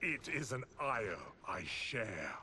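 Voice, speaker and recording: A man's put-on character voice at a medium pitch, over clear background noise. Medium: video game. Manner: formal, measured.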